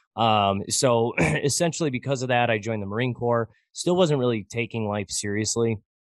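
A man talks with an American accent at a moderate pace. His medium pitch shows ordinary variation. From US Midwest, Michigan. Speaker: finance podcaster. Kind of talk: interview conversation.

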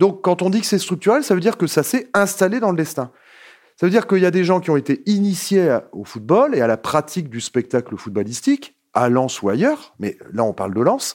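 A man speaks high and at a fairly quick pace, with very wide pitch swings. The recording is very clean, with a silent background. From Nord-Pas-de-Calais, France. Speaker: sociologist. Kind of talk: interview. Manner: hesitant with fillers.

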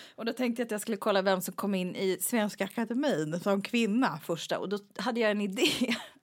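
A woman has an ordinary speaking voice, pitched fairly high with ordinary pitch variation. She moves at a fairly quick pace. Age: 40s. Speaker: podcast co-host. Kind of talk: casual chat.

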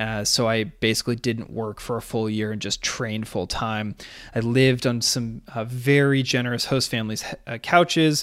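A normal speaking voice with fairly even intonation comes through on a very clean recording with a silent background. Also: man, medium pitch for a man, moderate pace. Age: 30s. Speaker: podcast host and real estate agent, former Olympic rower. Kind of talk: solo podcast monologue.

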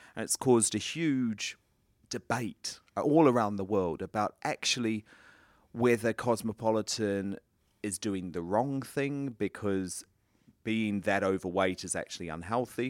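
This man has an unremarkable speaking voice with a fairly low pitch and ordinary pitch variation, captured in a dry, close sound with no echo on a very clean recording with a silent background. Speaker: podcast interviewer. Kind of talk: interview. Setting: studio.

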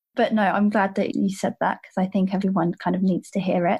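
The speaker is a woman with a somewhat breathy voice. Her pitch is medium. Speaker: podcast host. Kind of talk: interview. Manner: warm, enthusiastic.

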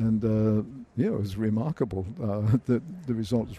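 With an Australian accent, a man speaks at a medium pitch in a dark, mellow tone with fairly even intonation. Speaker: accounting professor. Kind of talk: interview.

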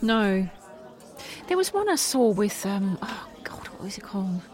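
A woman speaks at a fairly slow pace with long, frequent pauses, her medium pitch showing ordinary variation. Noticeable background noise sits behind her. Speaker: podcast co-host and voice actor. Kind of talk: casual chat.

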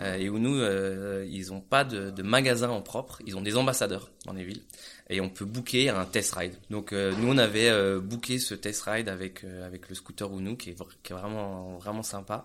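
Moderate pace with fairly even intonation and big swings in loudness. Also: man, fairly low pitch for a man. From France. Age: 30s. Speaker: entrepreneur. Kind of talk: interview. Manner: halting.

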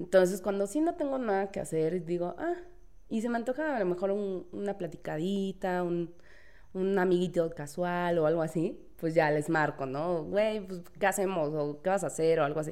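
A woman's fairly low-pitched voice with a dark, mellow tone, ordinary pitch variation and a moderate pace. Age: 30s. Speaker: legal office assistant. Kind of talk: casual chat.

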